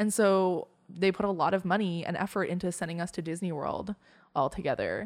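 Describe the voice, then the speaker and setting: A woman's normal speaking voice at a medium pitch, fairly quick in pace with fairly even intonation, on a very clean recording with a silent background. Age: 20s. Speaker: guest sharing personal experience of grief. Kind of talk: casual conversation.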